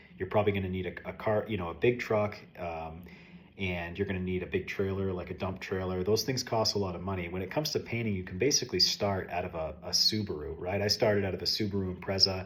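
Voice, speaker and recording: A man with an American accent talks at a very fast pace in a very deep, low pitch. His intonation is fairly even and his voice somewhat breathy. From US East Coast, Maine. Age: 30s. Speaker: painting contractor and self-improvement vlogger. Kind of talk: casual monologue vlog. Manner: hesitant, many fillers.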